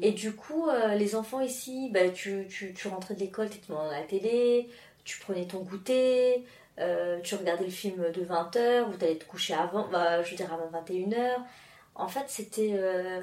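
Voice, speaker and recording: Speaking at a very slow pace amid noticeable background noise, a woman shows big swings in loudness. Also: medium pitch for a woman, ordinary pitch variation. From France and Mauritius. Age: 30s. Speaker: interview guest. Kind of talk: casual interview. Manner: halting, many fillers and repetitions.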